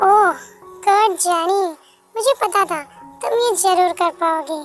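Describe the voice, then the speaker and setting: A woman's put-on character voice at a fairly slow pace, with faint music in the background. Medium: audio drama.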